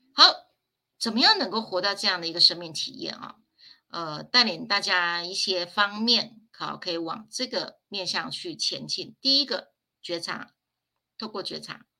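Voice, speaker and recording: On a very clean recording with a silent background, the voice has a bright, sharp tone, lively intonation, vocal fry, big swings in loudness and a fairly slow pace. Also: woman, medium pitch for a woman. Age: 50s. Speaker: spiritual teacher. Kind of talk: livestream lecture.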